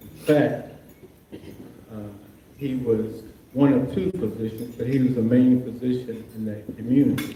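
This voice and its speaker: A man with an American accent speaks at a medium pitch and a very slow pace. Noticeable background noise and audible room echo are present. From Maryland, Baltimore County. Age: 70s. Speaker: physician. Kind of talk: impromptu remarks at a luncheon. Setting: luncheon with audience. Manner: hesitant, with many fillers.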